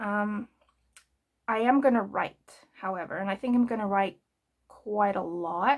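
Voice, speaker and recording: In a South African accent, the speaker moves at a fairly slow pace with long, frequent pauses and ordinary pitch variation. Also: woman, medium pitch for a woman. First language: Afrikaans. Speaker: journaling vlogger. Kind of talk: casual craft tutorial chat. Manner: relaxed, hesitant with fillers.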